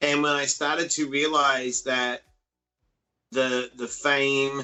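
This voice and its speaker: The speaker proceeds very slowly while music sounds in the background. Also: man, fairly high pitch for a man. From Australia. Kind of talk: casual interview. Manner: animated.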